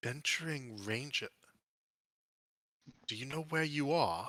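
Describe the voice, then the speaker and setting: A man speaks in a put-on character voice at a fairly high pitch. His pace is moderate. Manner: suspicious, questioning.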